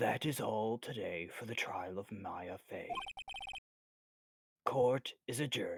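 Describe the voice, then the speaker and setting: Putting on a raspy character voice, a man speaks at a fairly slow pace with long, frequent pauses. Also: medium pitch for a man. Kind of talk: formal, authoritative courtroom.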